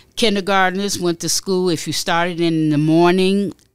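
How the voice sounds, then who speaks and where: A woman with an unremarkable speaking voice and an American accent, at a moderate pace with fairly even intonation. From Chicago. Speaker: podcast guest. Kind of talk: casual interview conversation.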